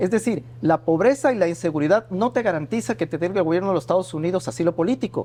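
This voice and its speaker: A man with a high-pitched, dark and mellow voice talks very fast, his pitch swinging very widely. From Ecuador. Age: 40s. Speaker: journalist. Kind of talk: interview.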